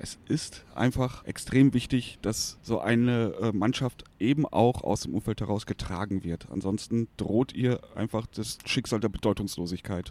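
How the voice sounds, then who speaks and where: A man talks at a fairly slow pace in a medium-pitched voice with a dark, mellow tone and ordinary pitch variation. The recording is very clean with a silent background and a dry, close sound with no echo. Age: 40s. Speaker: football fan and podcast co-host. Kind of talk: casual chat. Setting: studio, face to face.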